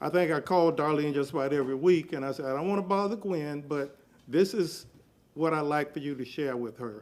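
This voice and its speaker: A man with an American accent speaks at a fairly quick pace, his pitch fairly high with ordinary variation. He has an ordinary speaking voice, and the recording is very clean with a silent background. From Tampa, Florida. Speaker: public commenter at city council. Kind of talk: public comment tribute. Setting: city council meeting.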